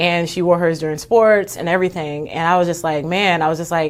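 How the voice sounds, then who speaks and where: A woman with an American accent speaks in an ordinary speaking voice, fairly low in pitch, at a fairly quick pace. Her intonation stays fairly even, and the recording is very clean with a silent background. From Texas. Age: 30s. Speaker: Olympic bobsledder. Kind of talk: podcast interview. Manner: casual, many fillers.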